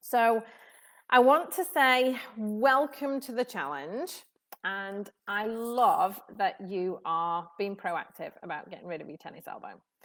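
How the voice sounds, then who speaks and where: Speaking at a very slow pace, a woman uses lively intonation and a fairly high pitch. The recording is very clean with a silent background. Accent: British. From UK. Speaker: tennis elbow therapist. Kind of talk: live stream talk to audience. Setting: live video stream, sunshine behind. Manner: casual, many fillers.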